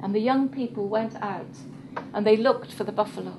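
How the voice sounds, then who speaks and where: A woman's fairly high voice shows ordinary pitch variation, with noticeable background noise behind it. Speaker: storyteller. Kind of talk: live oral storytelling to a small audience. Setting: informal live event, room recording.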